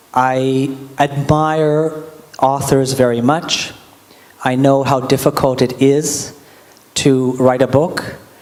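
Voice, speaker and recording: A man with a Canadian accent, medium pitch and monotone, flat intonation, at a very slow pace with long, frequent pauses and very even loudness, amid noticeable background noise and audible room echo. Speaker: diplomat introducing a speaker. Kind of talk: introductory remarks at a public lecture. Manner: casual, joking.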